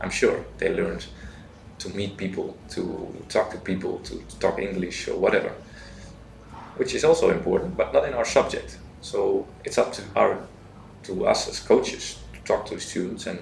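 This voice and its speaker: Over noticeable background noise and audible room echo, a man talks at a moderate pace with big swings in loudness. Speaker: university teacher, coach. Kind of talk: interview.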